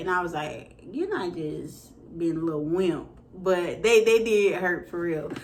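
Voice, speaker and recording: Speaking at a fairly slow pace, a woman with a fairly low pitch uses ordinary pitch variation, and audible room echo surrounds her voice. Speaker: vlogger. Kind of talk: casual product review. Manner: hesitant with fillers.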